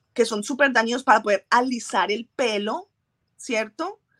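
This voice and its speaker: A high-pitched woman's voice, dry and close with no echo, on a very clean recording with a silent background. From Colombia. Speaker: trichologist and microbiologist. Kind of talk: interview.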